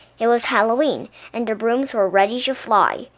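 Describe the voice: Someone does plain reading aloud here.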